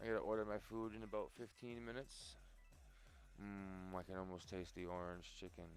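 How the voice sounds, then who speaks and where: Over music in the background, a man is soft-spoken. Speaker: gaming streamer. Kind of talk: live stream chat. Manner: quiet, soft-spoken. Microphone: mic can't go louder without feedback.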